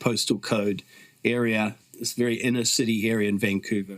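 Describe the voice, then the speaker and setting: A man is speaking here. His pitch is medium and his pace is moderate. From New Zealand. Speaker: author and activist, founder of a mission movement. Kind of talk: podcast interview.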